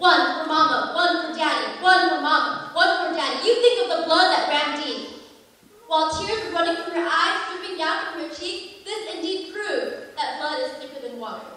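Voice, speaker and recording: An extremely high-pitched woman's raised, projected voice, lively in intonation, at a moderate pace amid noticeable background noise. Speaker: pageant contestant. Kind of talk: slam poetry performance.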